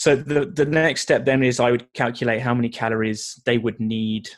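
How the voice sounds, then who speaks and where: On a very clean recording with a silent background, a man with a British accent speaks at a medium pitch and moderate pace with fairly even intonation. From UK. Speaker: nutrition coach and personal trainer. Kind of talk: podcast interview.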